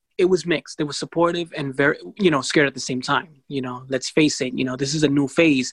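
A man talks at a very fast pace with hardly any pauses. His pitch is fairly high. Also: fairly even intonation, dry, close sound with no echo. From New York City. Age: 20s. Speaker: blindness advocate. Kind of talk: interview.

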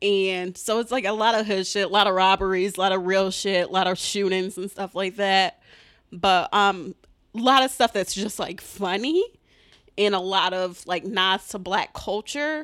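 On a very clean recording with a silent background, a woman with an American accent uses a normal speaking voice, medium in pitch, fairly slow and with fairly even intonation. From Detroit, Michigan. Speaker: comedian. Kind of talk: casual chat. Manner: laughs often.

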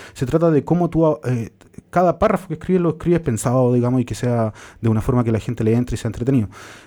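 A man speaks with a Chilean accent. His tone is dark and mellow, with ordinary pitch variation. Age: 30s. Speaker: journalist and author. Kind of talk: interview.

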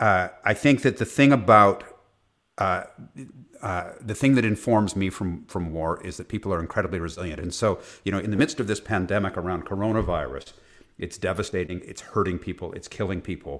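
A man speaks at a fairly quick pace in an unremarkable speaking voice, pitched fairly low with ordinary pitch variation. His loudness swings widely, and the recording is very clean with a silent background. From Canada. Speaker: journalist and tech company CEO. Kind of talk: casual chat.

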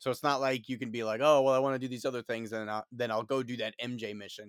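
In a very clean recording with a silent background, a man with an American accent speaks at a medium pitch in an unremarkable speaking voice. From New York City. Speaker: guest, video game fan. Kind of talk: casual chat.

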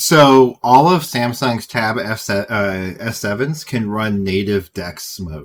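Speaking at a very slow pace with hardly any pauses, a man uses a medium pitch and lively intonation. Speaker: podcast host. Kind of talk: casual chat about tech news. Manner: enthusiastic, casual, uses "dude".

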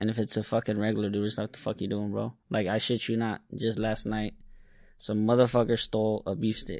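A man's fairly low, monotone, flat voice at a fairly quick pace over a quiet background. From Yemen. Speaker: liquor store worker and video creator. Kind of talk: casual podcast interview. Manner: casual, profane.

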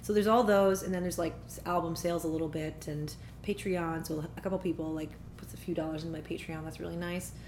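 With a Canadian accent, a woman speaks at a very fast pace in a fairly low pitch with vocal fry and fairly even intonation. Audible room echo surrounds her voice. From Ottawa, Canada. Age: 30s. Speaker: singer-songwriter and vocal coach. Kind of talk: casual interview chat. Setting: at parents' home.

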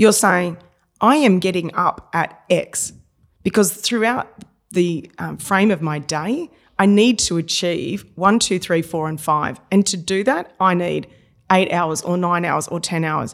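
At a fairly slow pace, the speaker talks with an Australian accent and ordinary pitch variation. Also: woman, fairly low pitch for a woman. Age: 40s. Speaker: business coach and trainer. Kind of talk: podcast interview.

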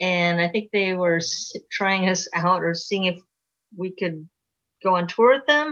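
With an American accent, a woman speaks at a fairly slow pace and a medium pitch with ordinary pitch variation. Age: 60s. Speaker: rock musician, singer and bassist. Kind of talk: casual interview chat. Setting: video call.

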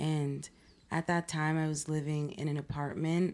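A woman with an American accent speaks at a fairly slow pace in a very deep, low pitch against a quiet background. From Pennsylvania, US. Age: 20s. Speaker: painter and art student. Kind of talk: casual interview chat.

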